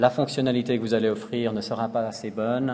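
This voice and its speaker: The speaker is a man with a medium pitch. Audible room echo surrounds his voice. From Switzerland, Lausanne. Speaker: designer. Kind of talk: conference talk. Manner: hesitant, many fillers.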